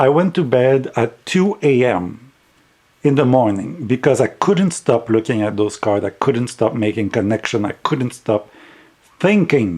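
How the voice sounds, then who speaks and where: A man's medium-pitched voice in a French accent, with very wide pitch swings. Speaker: tarot deck reviewer. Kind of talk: casual review vlog. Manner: halting, repeats words.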